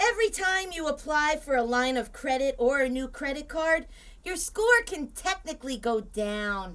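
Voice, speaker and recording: A woman puts on a high-pitched character voice. Her pitch swings very widely. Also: moderate pace. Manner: storybook telling, sassy.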